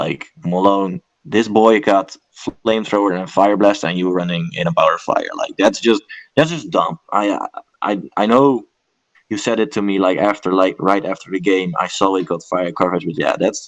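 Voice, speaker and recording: Speaking with a non-native accent, a man uses a fairly low pitch, lively intonation and a moderate pace. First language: not English. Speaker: esports commentator. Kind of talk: casual analysis chat. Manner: hesitant, many fillers.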